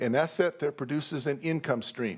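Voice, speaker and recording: A man with an American accent talks with ordinary pitch variation on a very clean recording with a silent background. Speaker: professor. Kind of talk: lecture. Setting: stage with audience. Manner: animated.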